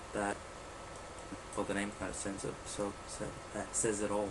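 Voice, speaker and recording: A man's fairly low voice over noticeable background noise. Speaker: let's play gamer. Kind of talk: casual gameplay commentary. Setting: laptop microphone, poor quality. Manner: hesitant, lots of filler words.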